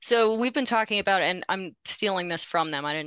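Woman at medium pitch, bright and sharp, fairly quick in pace with ordinary pitch variation, in dry, close sound with no echo and a quiet background. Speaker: executive director of a dual enrollment organization. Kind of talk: panel discussion. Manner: fast.

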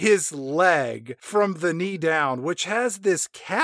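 Read aloud in a natural voice, with lively intonation.

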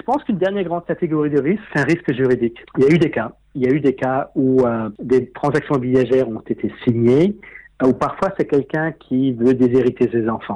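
Over a quiet background, a man with a dark, mellow tone speaks at a medium pitch and a fairly quick pace, with ordinary pitch variation. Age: 50s. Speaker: property investor. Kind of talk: interview.

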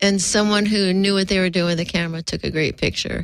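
A woman speaks at a medium pitch in an unremarkable speaking voice. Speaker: comedian. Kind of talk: radio interview. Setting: studio.

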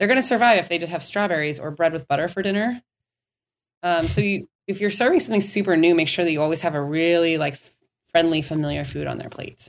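A woman with an American accent, fairly low-pitched, talking at a very fast pace. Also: ordinary pitch variation. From Minnesota. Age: 30s. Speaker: dietitian. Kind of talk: interview.

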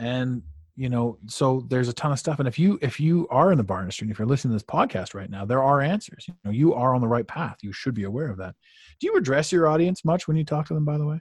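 A man with a Canadian accent talks at a very fast pace and medium pitch, somewhat breathy with lively intonation, over a quiet background. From Canada, Ottawa. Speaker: life coach. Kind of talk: podcast interview. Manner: animated.

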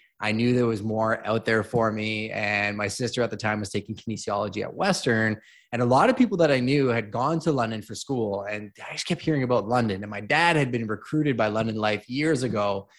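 In a Canadian accent, a man speaks at a fairly quick pace and medium pitch, with ordinary pitch variation and hardly any pauses. His is an unremarkable speaking voice. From Montreal, Quebec, Canada. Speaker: realtor and real estate investor. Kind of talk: interview.

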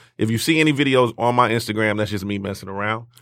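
A man races along at a very fast pace with ordinary pitch variation, captured in a very clean recording against a silent background. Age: 40s. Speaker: music network co-founder. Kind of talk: casual chat.

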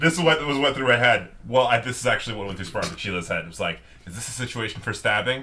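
A very fast man at medium pitch, lively intonation and big swings in loudness, with noticeable background noise. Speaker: tabletop roleplaying game player. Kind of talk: casual roleplaying game chat.

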